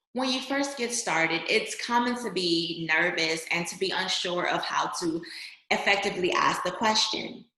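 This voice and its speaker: Energetic woman's voice with ordinary pitch variation and audible room echo. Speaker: voter registration trainer. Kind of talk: training presentation. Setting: online screen-share presentation.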